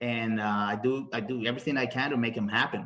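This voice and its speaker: A man with a Spanish accent speaks at a fairly quick pace in a bright, sharp tone with ordinary pitch variation. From Bolivia. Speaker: mortgage loan officer. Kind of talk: interview. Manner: halting, many repetitions.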